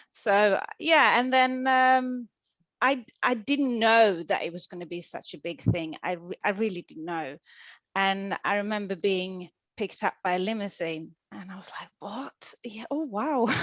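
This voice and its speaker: Fairly slow speech with lively intonation, big swings in loudness and a Swedish accent, over a quiet background. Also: woman, medium pitch for a woman. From Sweden. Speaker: actress. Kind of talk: casual chat. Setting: video call. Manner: halting.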